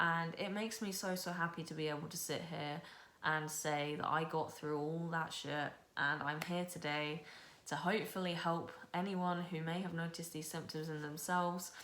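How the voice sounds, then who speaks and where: Noticeable background noise and audible room echo surround this recording. A woman talks at a moderate pace with monotone, flat intonation. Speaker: booktuber. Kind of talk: personal testimony vlog. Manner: casual, filler-heavy speech.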